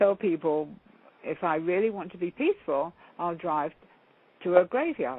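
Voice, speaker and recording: Her intonation lively, a woman with an English accent speaks at a fairly low pitch. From England (London). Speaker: counselor and motivational speaker. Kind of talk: interview.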